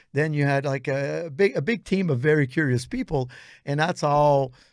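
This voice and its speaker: Recorded very cleanly against a silent background, a man in a Quebec accent speaks at a fairly high pitch and a moderate pace. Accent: Québécois French-accented English. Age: 60s. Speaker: posturology trainer. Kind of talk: interview conversation. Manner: animated.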